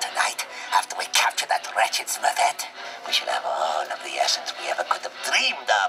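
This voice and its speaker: A man's raspy, put-on character voice at a fairly quick pace, with light background noise. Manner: cackling, scheming.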